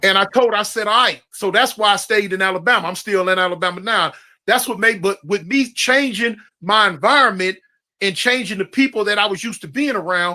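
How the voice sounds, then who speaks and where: Raised and projected, a man's bright, sharp voice comes at a high pitch and a fairly quick pace, with ordinary pitch variation. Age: 60s. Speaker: former gang member and ex-prisoner. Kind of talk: interview conversation. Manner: casual, storytelling.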